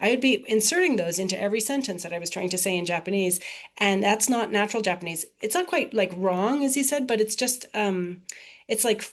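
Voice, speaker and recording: Speaking in a General American accent, a woman moves at a fairly quick pace. Her pitch is medium and her intonation lively. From United States. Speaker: professor. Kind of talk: podcast interview. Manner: many fillers, hesitant.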